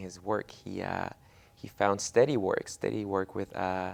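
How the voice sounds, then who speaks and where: Using a Spanish accent, a man talks fairly slowly at a fairly low pitch with monotone, flat intonation. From Mexico, moved to Oregon at ten. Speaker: immigrant rights activist. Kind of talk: interview testimony. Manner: halting, many fillers.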